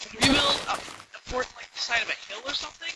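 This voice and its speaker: A man speaks at a fairly quick pace amid noticeable background noise. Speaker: gaming video commentator. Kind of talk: post-recorded gameplay commentary. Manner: halting, stuttering. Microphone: cheap quiet mic, heavy noise reduction and amplification.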